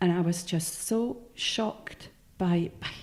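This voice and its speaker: A woman's somewhat breathy voice with a Swiss German accent and fairly even intonation. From Switzerland. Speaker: novelist. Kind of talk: interview.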